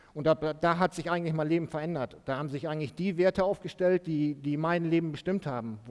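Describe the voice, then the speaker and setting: This man's voice sits fairly high for a man. He rattles along at a very fast pace. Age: 40s. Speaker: former drug addict giving testimony. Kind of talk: testimony in church. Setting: church service. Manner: halting, many fillers.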